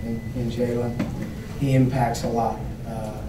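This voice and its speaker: The voice speaks in a flat, monotone way over noticeable background noise. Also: man. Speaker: basketball coach. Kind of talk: interview answer. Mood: subdued after a loss. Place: hall.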